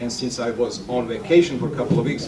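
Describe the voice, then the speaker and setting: Male speaker with a European accent and medium pitch, plus noticeable background noise and audible room echo. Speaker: filmmaker. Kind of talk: workshop talk. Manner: halting, many fillers.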